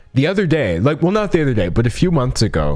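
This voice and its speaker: A man's animated tone with very wide pitch swings. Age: 20s. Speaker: youtuber streamer. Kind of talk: casual chat. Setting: live stream.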